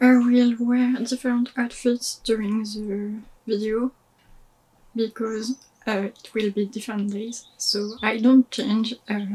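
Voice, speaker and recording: A woman with a French accent speaks at a very slow pace, with fairly high pitch and a monotone, flat intonation. Her voice is somewhat breathy with a dark, mellow tone and big swings in loudness. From France. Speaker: DIY crafter, Disney content creator. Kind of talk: casual talk to camera.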